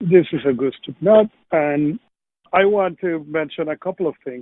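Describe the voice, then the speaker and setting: With a Spanish accent, the voice shows ordinary pitch variation. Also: man. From Venezuela. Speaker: podcast co-host. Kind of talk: casual panel discussion. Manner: fast.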